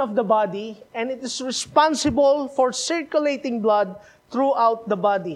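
In a Filipino accent, a man talks at a moderate pace with ordinary pitch variation. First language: Filipino language (Tagalog or regional). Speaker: missionary preacher. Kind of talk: sermon. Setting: church. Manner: halting, repeats words.

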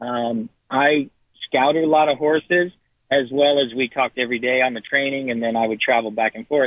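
A man talks at a fairly quick pace in a plain, everyday voice. His pitch is medium, with fairly even intonation. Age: 50s. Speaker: racehorse trainer. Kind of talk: casual interview.

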